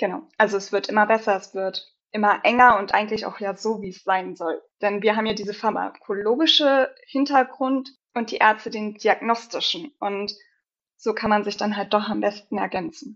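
Her delivery is a normal speaking voice at a moderate pace. The woman's pitch is fairly high, with ordinary pitch variation. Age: 20s. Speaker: pharmacist. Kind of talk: casual chat.

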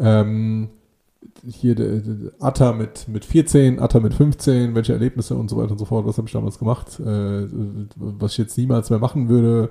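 The voice has a dark, mellow tone, somewhat breathy, with fairly even intonation at a moderate pace. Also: man. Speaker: podcast co-host. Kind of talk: casual chat.

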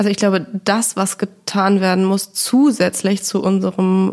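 At a moderate pace, a woman talks in an ordinary speaking voice with a medium pitch and fairly even intonation. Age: 30s. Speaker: finance journalist and podcaster. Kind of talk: interview.

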